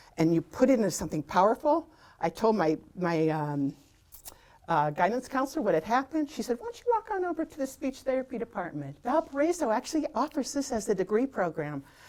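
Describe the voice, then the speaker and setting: Very fast and with vocal fry, a woman with an American accent talks at a fairly high pitch that swings very widely. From US Midwest, Hobart, Indiana. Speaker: former TV fitness host and athlete. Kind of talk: interview conversation. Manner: animated.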